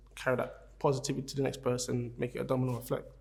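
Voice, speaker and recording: A man speaks with a South London accent. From London (Peckham, South London). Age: 30s. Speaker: venue manager and family key worker. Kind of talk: interview answers. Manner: halting.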